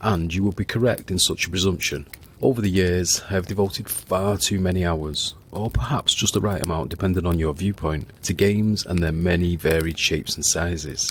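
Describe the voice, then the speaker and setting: A man with a northern English accent and a very deep, low pitch, somewhat breathy, with ordinary pitch variation, at a fairly quick pace with hardly any pauses. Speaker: podcast host. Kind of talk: storytelling narration. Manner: dramatic.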